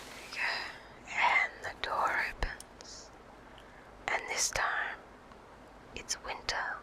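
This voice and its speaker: Someone whispers in a calm tone over noticeable background noise. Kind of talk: ASMR gaming let's play commentary. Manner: whispered; soft-spoken, calm.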